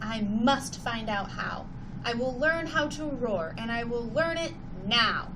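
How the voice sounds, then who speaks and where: A put-on character voice at a fairly slow pace over loud background noise. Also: female-sounding voice, fairly high pitch for a woman. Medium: read story. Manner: small, timid.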